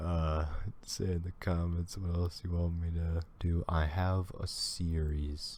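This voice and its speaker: Very deep and low, a man's voice has a dark, mellow tone. He sounds somewhat breathy and speaks at a fairly slow pace. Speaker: reaction video creator. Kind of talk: reaction commentary.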